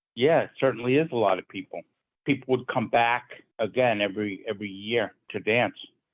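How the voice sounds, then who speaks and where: A plain, everyday voice from a man with an American accent, medium in pitch, fairly quick, with ordinary pitch variation. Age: 60s. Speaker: square dance caller's descendant, interviewee. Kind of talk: interview.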